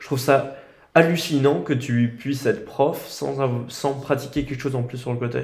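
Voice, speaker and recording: Recorded with audible room echo, a man with a fairly high pitch and vocal fry speaks at a moderate pace, showing ordinary pitch variation and big swings in loudness. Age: 20s. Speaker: podcast host. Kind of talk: casual chat.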